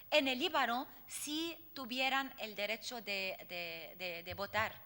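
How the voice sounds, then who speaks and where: Her pitch is high for a woman and swings very widely. The woman's tone is bright and sharp, and she speaks at a very slow pace. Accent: Arabic. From Lebanon. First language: Arabic (speaking Spanish). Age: 40s. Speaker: poet and activist. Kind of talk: Q&A after lecture. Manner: halting, many fillers.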